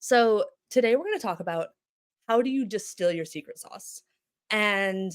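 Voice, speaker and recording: Someone with an American accent talks at a moderate pace, their pitch rising and falling in an ordinary way. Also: woman. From international childhood, then US. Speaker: brand designer and studio founder. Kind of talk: conference talk. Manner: casual, filler-heavy.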